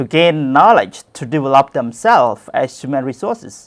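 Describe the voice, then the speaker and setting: A man speaks with a Cambodian accent. His pitch is fairly high and his pace moderate. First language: Khmer. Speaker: Buddhist monk, education director. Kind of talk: conference talk. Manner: halting, many fillers.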